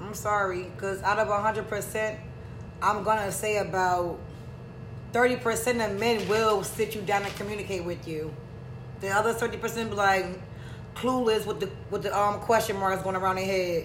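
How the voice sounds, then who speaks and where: Music plays in the background as a woman speaks at a fairly slow pace. Her tone is animated and her pitch medium. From US, Georgia King Village housing community. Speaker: podcast co-host. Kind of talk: casual chat. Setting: studio streamed live on YouTube.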